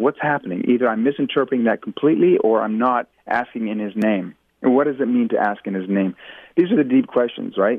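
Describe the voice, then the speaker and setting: The speaker talks at a very fast pace. Pitch varies in an ordinary way. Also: man, medium pitch for a man. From Indonesia, raised in jungle and international boarding school. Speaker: author. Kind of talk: interview.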